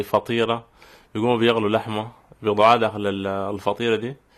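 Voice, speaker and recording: At a moderate pace, a man talks with monotone, flat intonation and a medium pitch. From Sudan. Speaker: master's student. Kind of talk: radio interview. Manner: casual colloquial.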